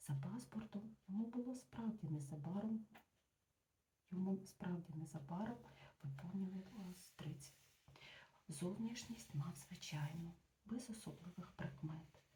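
The voice is quiet and the pace fairly slow. Long pauses come often. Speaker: ASMR book reader. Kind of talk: reading aloud. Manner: quiet voice; soft-spoken.

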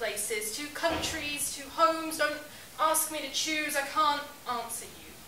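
A woman's raised, projected voice at a moderate pace, with ordinary pitch variation, audible room echo and light background noise. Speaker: spoken word poet. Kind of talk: spoken word poetry performance. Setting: stage with audience. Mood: earnest, emotional. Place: bar. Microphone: camera far.

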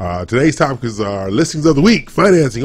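Music is faintly audible behind him. The man keeps a moderate pace. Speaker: radio show host. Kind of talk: radio show opening banter and announcements. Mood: jovial, laughing. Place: studio. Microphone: studio mic.

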